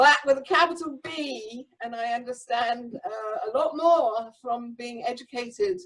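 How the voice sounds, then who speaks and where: At a moderate pace, a woman talks in an English accent with a fairly high pitch. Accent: English accent, still present. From England. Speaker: spiritual community member. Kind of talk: group discussion.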